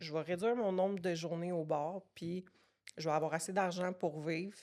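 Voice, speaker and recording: The speech moves at a fairly slow pace with fairly even intonation on a very clean recording with a silent background. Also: woman. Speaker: fitness coaching business owner. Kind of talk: podcast interview, personal story.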